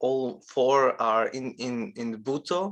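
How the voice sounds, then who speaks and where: This man has a fairly high-pitched voice and speaks with a non-native accent. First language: not English. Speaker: lecturer on performance art. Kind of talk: lecture. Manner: halting, many fillers.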